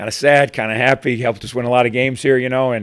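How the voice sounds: Fast and fairly bright, a man's medium-pitched voice keeps a fairly even intonation.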